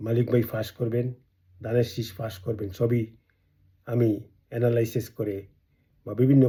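A man with a dark, mellow tone and a medium pitch sounds somewhat breathy. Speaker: political activist and video blogger. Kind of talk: political speech to camera. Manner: emphatic, rhetorical.

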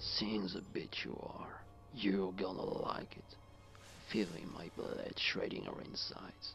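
A menacing tone at a fairly slow pace, over clear background noise. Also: man. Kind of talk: horror film acting. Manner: menacing, mocking.

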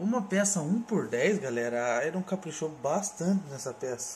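A man speaks at a fairly slow pace in a somewhat breathy voice, his pitch swinging very widely. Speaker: collectibles YouTuber. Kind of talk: product review. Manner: casual, enthusiastic.

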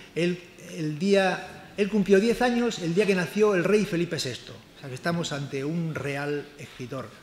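In a room with audible echo and light background noise, a man with a high pitch and ordinary pitch variation speaks at a fairly slow pace, his loudness swinging widely. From Spain, outside Seville; Spain. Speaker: cultural journalist. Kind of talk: book launch presentation. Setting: live event with audience. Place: hall. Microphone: microphone volume issues at start; podium.

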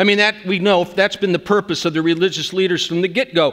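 Speaking at a very fast pace, a man keeps a high pitch and fairly even intonation. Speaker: preacher. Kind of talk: sermon. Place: church. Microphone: headset.

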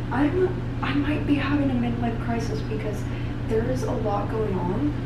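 Loud background noise sits behind a woman talking at a moderate pace. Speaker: vlogger. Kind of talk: casual vlog chat. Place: bathroom. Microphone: camera far.

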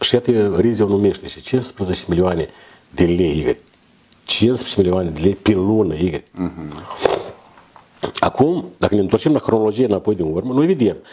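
Here is a man with a fairly low pitch. He talks at a moderate pace. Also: lively intonation. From Moldova. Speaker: guest or co-host. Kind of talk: casual chat. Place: studio.

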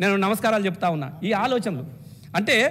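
A man's voice over light background noise. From Telangana, India. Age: 50s. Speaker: state legislator. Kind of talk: legislative assembly speech. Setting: state legislative assembly. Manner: impassioned oratory. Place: hall. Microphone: podium.

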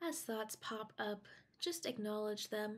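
A woman with a fairly high, somewhat breathy voice speaks in a calm, soothing tone with lively intonation. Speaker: meditation guide. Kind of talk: guided meditation. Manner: calm, slow, soothing; instructional, paced with pauses.

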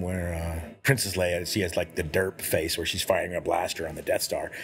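Light background noise sits behind a man with an American accent. He talks at a fairly quick pace and sounds somewhat breathy. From Houston, Texas. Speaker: artist and game creator; podcast guest or host. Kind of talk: casual chat. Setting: brewery. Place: home room.

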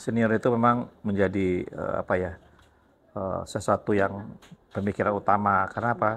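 The man's pitch sits fairly low and his intonation is monotone and flat. He keeps a moderate pace. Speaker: teacher and interviewer. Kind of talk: casual interview. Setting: school library. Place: studio. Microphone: lapel.

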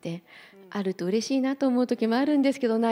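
A woman's dark, mellow tone. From Japan, Hiroshima; Japan. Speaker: entrepreneur; panelist. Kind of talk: panel discussion. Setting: stage with audience. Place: hall. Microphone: handheld.

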